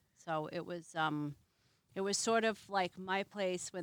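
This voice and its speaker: In an unremarkable speaking voice, a woman talks at a fairly low pitch and fairly slow pace with fairly even intonation, the sound dry and close with no echo on a very clean recording with a silent background. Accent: American. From Massachusetts. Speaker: Airbnb host, former flight attendant. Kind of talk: casual interview. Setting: outdoors by a fire.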